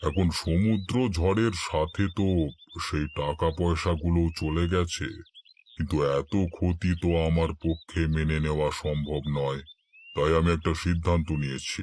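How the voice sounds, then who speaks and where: This man uses a cartoonish character voice with a very deep, low pitch. He speaks at a fairly slow pace. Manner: authoritative, cold.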